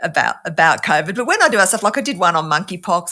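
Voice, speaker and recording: Lively in intonation and fairly quick, a woman talks with an Australian accent and a bright, sharp tone on a very clean recording with a silent background. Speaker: scientist and YouTube debunker. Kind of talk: interview conversation.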